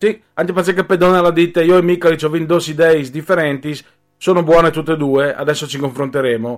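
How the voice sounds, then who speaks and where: A man speaks in a normal speaking voice at a fairly high pitch. His pace is fairly quick. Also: fairly even intonation. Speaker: sports radio host. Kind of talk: radio sports talk.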